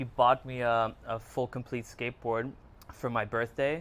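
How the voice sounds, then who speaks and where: His pitch sits in the medium range, his pace is moderate, and his intonation is monotone and flat. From Germany and New York area. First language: Hungarian. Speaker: filmmaker and photographer. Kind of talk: podcast interview. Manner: halting, many fillers.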